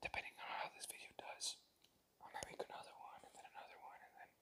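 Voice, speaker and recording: A man is whispering. His pace is fairly quick. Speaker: first-time ASMR creator. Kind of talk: casual talk to camera. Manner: casual, rambling, self-deprecating, uses filler words.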